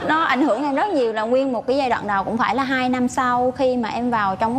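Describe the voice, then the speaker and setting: Noticeable background noise lies under talking delivered at a very fast pace. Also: woman. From Vietnam, Quang Nam. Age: 20s. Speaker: nurse, dating show contestant. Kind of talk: casual chat. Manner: loud.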